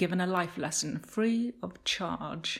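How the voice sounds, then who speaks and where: On a very clean recording with a silent background, a woman speaks in an animated, somewhat breathy voice with ordinary pitch variation. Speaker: monologue performer. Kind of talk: dramatic narration, theatrical monologue. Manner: animated, wry, darkly comic, richly expressive.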